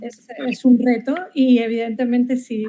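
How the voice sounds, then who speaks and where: A woman speaks with an Andalusian accent and a high pitch. Her intonation is monotone and flat. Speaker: marketing professor. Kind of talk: academic webinar presentation. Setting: online video call. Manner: halting, many repetitions.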